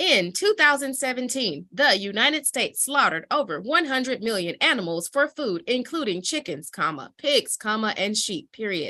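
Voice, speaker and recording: A woman's put-on, robotic character voice, high-pitched, at a moderate pace. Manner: flat, mechanical reading.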